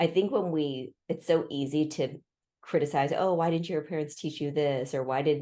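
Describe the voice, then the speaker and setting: A woman with an American accent speaks at a very deep, low pitch and a moderate pace. Her tone is dark and mellow, her intonation fairly even, and the background quiet. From Pacific Northwest US, Seattle area. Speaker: historian. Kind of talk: interview conversation. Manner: halting, with repetitions.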